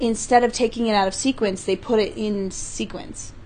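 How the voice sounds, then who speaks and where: A woman with an American accent and an ordinary speaking voice, fairly high in pitch, at a fairly slow pace with fairly even intonation. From US West (California, Utah). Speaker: improv comedian. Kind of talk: casual chat.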